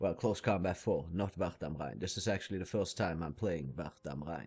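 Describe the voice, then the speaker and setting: With vocal fry and a very deep, low pitch, a man talks at a moderate speed, his pitch moving in an ordinary way. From Norway. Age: 30s. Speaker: gaming YouTuber. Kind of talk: casual gameplay commentary intro. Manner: hesitant, many filler words.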